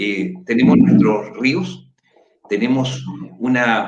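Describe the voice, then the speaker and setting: Lively intonation at a fairly slow pace, with audible room echo. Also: man. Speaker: political candidate and show host. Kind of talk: panel discussion. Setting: livestream.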